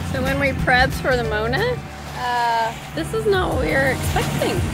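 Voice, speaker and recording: Loud music plays behind a woman speaking at a moderate pace, the sound dry with no echo. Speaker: sailing vlogger. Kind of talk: casual vlog chat. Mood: cheerful, pleased. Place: boat. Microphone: phone near.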